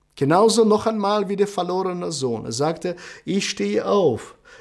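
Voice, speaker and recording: This man has a high pitch and lively intonation, talking at a fairly slow pace against a quiet background. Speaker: preacher. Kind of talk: sermon. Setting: church service, online broadcast. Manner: earnest, preaching cadence, repeating phrases for emphasis. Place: studio.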